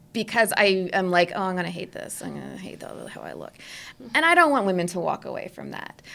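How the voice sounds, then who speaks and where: A woman with an American accent talks at a very fast pace, her loudness swinging widely. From New Jersey. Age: 30s. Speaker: portrait photographer. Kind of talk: interview conversation.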